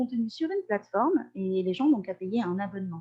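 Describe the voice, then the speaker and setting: A woman speaks with lively intonation at a fairly quick pace. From Corsica (Ajaccio). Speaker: language teacher and translator. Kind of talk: podcast interview. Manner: hesitant, many euh fillers.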